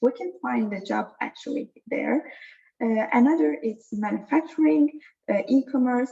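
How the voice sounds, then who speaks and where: A woman with an Azerbaijani accent, a dark, mellow tone, vocal fry, lively intonation and a moderate pace. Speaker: data science trainer. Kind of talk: online workshop lecture. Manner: halting, many fillers.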